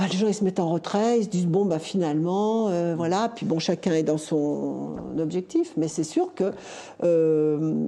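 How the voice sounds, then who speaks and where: With noticeable background noise, a woman with a fairly low pitch talks at a fairly slow pace, with very even loudness and ordinary pitch variation. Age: 60s. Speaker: local election candidate. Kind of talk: talk show discussion.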